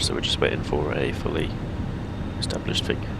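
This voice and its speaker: A man talks in a Scottish accent. Noticeable background noise runs behind him. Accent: mild Scottish twang. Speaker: flight simulator streamer. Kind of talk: casual flight-sim commentary.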